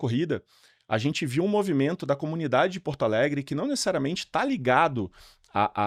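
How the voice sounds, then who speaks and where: With a Rio de Janeiro accent, a man speaks at a moderate pace and a fairly high pitch, his voice making very wide pitch swings, in a very clean recording with a silent background and a dry, close sound with no echo. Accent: carioca (Rio de Janeiro). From Rio de Janeiro, Brazil. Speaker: event organizer. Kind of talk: podcast interview. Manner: halting, many fillers and restarts.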